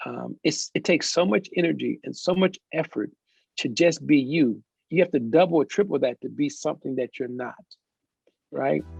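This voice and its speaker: A man speaks with an American accent at a moderate pace. The sound is dry and close, with no echo. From Los Angeles. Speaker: pastor and adjunct professor; Navy veteran. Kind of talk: interview answer. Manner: enthusiastic.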